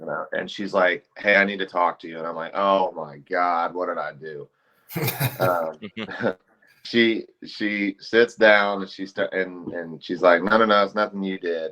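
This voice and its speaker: The pace is fairly slow and the intonation fairly even. Loudness swings widely. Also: man, very deep, low pitch for a man. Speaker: professional wrestler. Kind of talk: interview answer. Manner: hesitant, casual, anecdotal.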